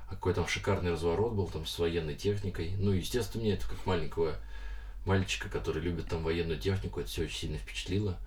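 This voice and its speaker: Noticeable background noise and audible room echo surround a man who talks at a very fast pace in a very deep, low pitch with lively intonation. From Moscow region, Russia (Lyubertsy). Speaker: comics artist. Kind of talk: interview. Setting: studio.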